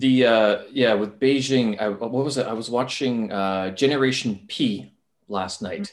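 Heard over a quiet background, a man speaks in a plain, everyday voice at a medium pitch. His pace is fairly slow, with ordinary pitch variation. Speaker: podcast host; English teacher in China. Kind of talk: casual interview. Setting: video call.

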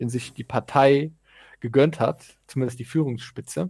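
On a very clean recording with a silent background, a man speaks at a moderate pace with a medium pitch, a dark, mellow tone and vocal fry. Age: young. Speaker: podcast co-host, civil servant. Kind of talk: casual political discussion.

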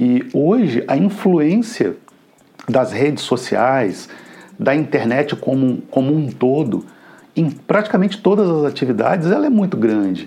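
His fairly high voice has a dark, mellow tone and very wide pitch swings. This man keeps his loudness very even. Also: fairly slow pace. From Brazil, Minas Gerais (Juiz de Fora). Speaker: violinist and music group director. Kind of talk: interview. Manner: halting, with fillers and repetitions.

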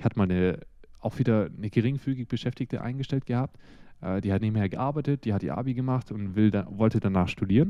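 A man rushes along at a very fast pace, his medium pitch moving with ordinary variation. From Germany. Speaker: podcast co-host, retail store manager. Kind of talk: casual chat.

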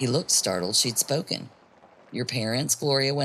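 Here is a natural reading voice. The text is read aloud.

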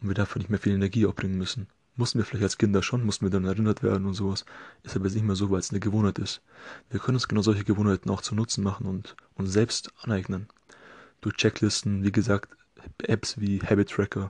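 A somewhat breathy man with a fairly low pitch, very fast and monotone with flat intonation, in a dry, close sound with no echo. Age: 20s. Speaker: podcast host, occupational therapy student. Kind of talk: solo podcast monologue. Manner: casual, filler-heavy.

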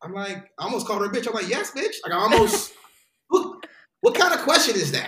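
In a raised, projected voice with an American accent, a man speaks at a fairly quick pace, his extremely high pitch swinging very widely. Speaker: actor and stand-up comedian. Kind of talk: casual chat. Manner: fast.

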